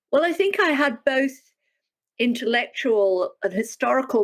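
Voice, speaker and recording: A moderate pace in a British accent, with very wide pitch swings on a very clean recording with a silent background. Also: woman. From United Kingdom. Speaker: historian, professor. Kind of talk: interview.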